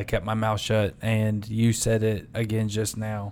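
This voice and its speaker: At a fairly slow pace and with fairly even intonation, this is an ordinary speaking voice. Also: man. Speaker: podcast co-host. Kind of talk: casual ad read and interview.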